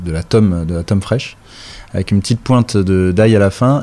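Noticeable background noise behind a man at a moderate speed, his voice fairly low and his pitch varying in an ordinary way. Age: 40s. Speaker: chef and restaurant owner. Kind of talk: interview. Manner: hesitant, many filler sounds.

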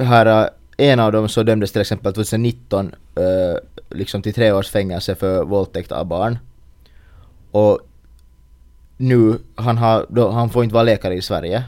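At a moderate pace, a man with a fairly low voice speaks with long, frequent pauses. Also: fairly even intonation. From Finland. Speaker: podcast co-host. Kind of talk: casual chat.

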